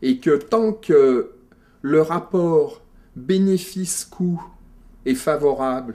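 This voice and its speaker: Lively intonation marks this man's dark, mellow tone. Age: 60s. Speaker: former doctor. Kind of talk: interview. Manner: halting.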